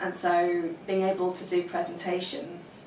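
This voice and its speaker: A woman with an English accent speaks at a fairly low pitch. Noticeable background noise and audible room echo surround her. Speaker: intelligence analyst. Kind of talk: testimony. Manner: stammering; halting.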